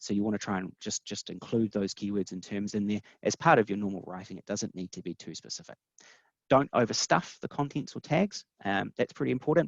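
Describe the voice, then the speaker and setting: A man with a New Zealand accent, fairly low-pitched and fairly quick, with lively intonation, big jumps in volume, a dry, close sound with no echo and a quiet background. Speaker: webinar presenter, SEO specialist. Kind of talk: webinar presentation. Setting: online webinar. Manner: fast; many fillers and repetitions.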